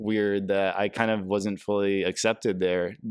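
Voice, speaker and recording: A man with an American accent at a moderate pace, fairly even in intonation, on a very clean recording with a silent background. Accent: American-sounding. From Brazil and England. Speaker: podcast host. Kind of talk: casual interview.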